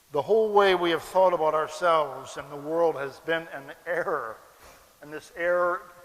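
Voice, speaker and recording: With an American accent, a man speaks in a high voice with ordinary pitch variation. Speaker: philosophy lecturer and animal rights activist. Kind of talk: public lecture. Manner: slow, deliberate for non-native audience.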